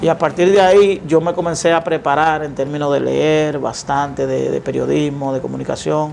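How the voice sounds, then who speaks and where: Over noticeable background noise, a man talks with hardly any pauses. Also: moderate pace. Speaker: lawyer and media commentator. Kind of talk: interview. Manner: halting.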